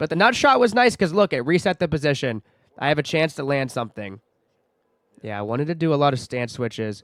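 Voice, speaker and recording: Very fast and animated, a man's voice makes very wide pitch swings, recorded dry and close with no echo, very clean, over a silent background. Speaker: amateur MMA fighter. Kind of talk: fight breakdown commentary.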